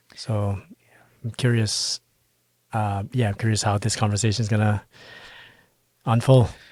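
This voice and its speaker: In a Burmese accent, a man speaks at a moderate pace with a fairly low, somewhat breathy, monotone voice, leaving long, frequent pauses on a very clean recording with a silent background. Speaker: Buddhist podcast co-host. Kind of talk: casual podcast chat.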